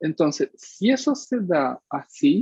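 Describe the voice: A man's dark, mellow tone carries vocal fry, a slightly husky edge and lively intonation. The sound is dry and close, with no echo.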